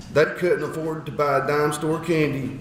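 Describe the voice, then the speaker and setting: In an Appalachian accent, a man speaks at a fairly slow pace in a fairly high pitch, with audible room echo and noticeable background noise. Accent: Appalachian Southern US. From Eastern Kentucky, Appalachia. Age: 40s. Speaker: speaker sharing personal story. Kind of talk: testimony speech. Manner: halting, with repetitions.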